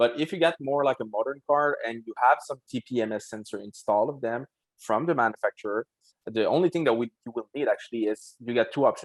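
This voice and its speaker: This man talks at a very fast pace with a Quebec accent. His pitch is medium, and its variation is ordinary. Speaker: wheel company representative. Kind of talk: casual podcast chat. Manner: halting, many fillers.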